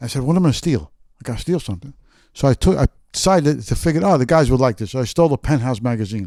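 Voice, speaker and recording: With a New York accent, a man talks very fast in a dark, mellow tone with lively intonation. The recording is very clean, with a silent background. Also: medium pitch for a man. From New York City, Queens. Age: 60s. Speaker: author. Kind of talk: storytelling interview.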